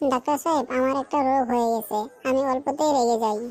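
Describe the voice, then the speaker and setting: In a cartoonish character voice, a woman speaks at a high pitch and a fairly quick pace, with fairly even intonation and very even loudness. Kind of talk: comic cartoon voice.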